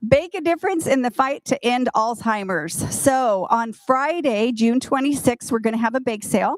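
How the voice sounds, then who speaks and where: A woman speaks in an ordinary speaking voice, pitched fairly high, at a moderate pace. The sound is dry and close, with no echo. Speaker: retirement community staff presenter. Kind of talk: community meeting announcements.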